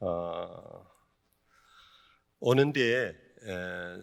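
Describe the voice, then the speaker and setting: With lively intonation, a man speaks on a very clean recording with a silent background. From South Korea, Daegu (Gyeongsang). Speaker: pastor. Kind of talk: sermon. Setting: church retreat, evening service with audience. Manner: many filler sounds (eo, e).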